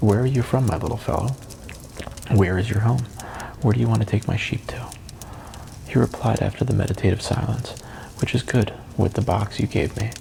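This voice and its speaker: A man's fairly low, soothing voice at a fairly quick pace, with long, frequent pauses and fairly even intonation, over noticeable background noise. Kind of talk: audiobook reading.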